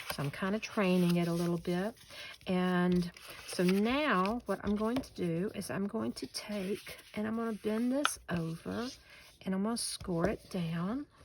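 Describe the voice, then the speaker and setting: A woman speaks with a Southern US accent at a fairly slow pace. Her intonation is lively. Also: medium pitch for a woman. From US South, western North Carolina. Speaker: paper crafter. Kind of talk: tutorial; casual chat. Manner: relaxed, folksy.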